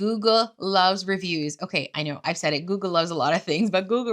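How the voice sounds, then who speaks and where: In a very clean recording with a silent background, a woman with a normal speaking voice talks at a fairly quick pace, at a medium pitch, with lively intonation. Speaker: marketing consultant. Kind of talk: tutorial. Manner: casual, conversational.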